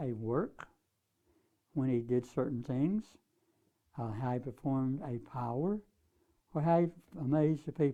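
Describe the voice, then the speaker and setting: A man's fairly high voice, dark and mellow in tone, with ordinary pitch variation and a fairly slow pace. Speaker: Bible study teacher. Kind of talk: lecture.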